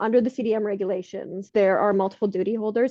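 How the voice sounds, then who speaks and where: The speaker has a Canadian accent and a very fast pace. The intonation stays fairly even. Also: woman. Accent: Canadian, often taken for American. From Canada. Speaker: health and safety consultant. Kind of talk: podcast interview.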